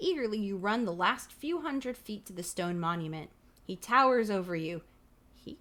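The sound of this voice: Lively intonation carried by an unforced reading voice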